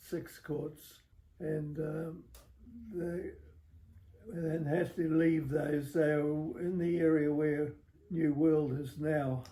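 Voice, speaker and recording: Very slowly and with long, frequent pauses, a man speaks in a monotone, flat intonation. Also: fairly high pitch for a man. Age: 80s+. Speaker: former tennis club member. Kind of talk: interview answer. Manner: slow, hesitant.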